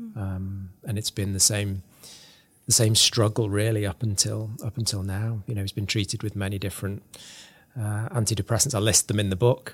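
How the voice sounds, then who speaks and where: A man, somewhat breathy, speaks at a moderate pace with monotone, flat intonation on a very clean recording with a silent background. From northern England. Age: 40s. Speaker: author. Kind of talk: interview. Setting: studio.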